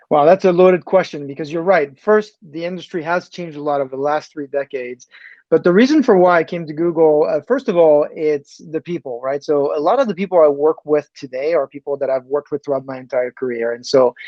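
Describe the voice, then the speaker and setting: A man with a French accent talks at a very fast pace, with hardly any pauses. His pitch is fairly high and varies in an ordinary way. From France. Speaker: tech executive. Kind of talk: interview. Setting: podcast.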